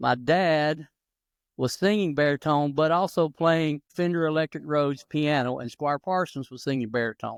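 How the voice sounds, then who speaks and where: A man with an Appalachian accent speaks at a moderate pace in a fairly high pitch with ordinary pitch variation, the recording very clean, dry and close with no echo and a silent background. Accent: Appalachian Southern US. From North Carolina mountains. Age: 60s. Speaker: retired gospel drummer. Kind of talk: interview. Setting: podcast.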